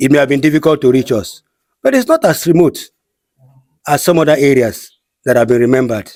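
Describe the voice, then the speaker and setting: A man speaks very fast with a Nigerian accent, yet leaves long, frequent pauses. His fairly high pitch comes with very even loudness. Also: ordinary pitch variation. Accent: Nigerian Igbo English. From Nigeria, Cross River State (Igbo community). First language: Igbo. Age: 60s. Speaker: community leader. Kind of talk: interview.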